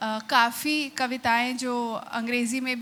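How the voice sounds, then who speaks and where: Her pitch high and her tone bright and sharp, a woman speaks with fairly even intonation. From India. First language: Punjabi (speaking Hindi). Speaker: poet. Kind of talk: stage introduction. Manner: halting with fillers.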